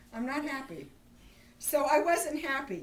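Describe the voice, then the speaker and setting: A woman's lively intonation with audible room echo. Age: 60s. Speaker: home baker giving a bread-making class. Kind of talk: casual storytelling; cooking demonstration. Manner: animated.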